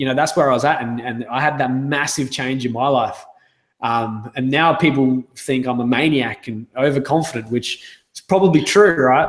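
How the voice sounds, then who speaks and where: A man speaks in an Australian accent at a medium pitch. His pace is moderate and his pitch variation ordinary. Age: 30s. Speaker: sales coach. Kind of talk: interview.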